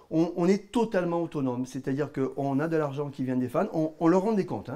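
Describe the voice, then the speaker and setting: Speaking fairly quickly with a southern French accent, a man has a fairly high voice with a dark, mellow tone and ordinary pitch variation. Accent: southern French (Midi). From southern France, Gard (Cévennes). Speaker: musician and band manager. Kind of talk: interview. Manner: halting.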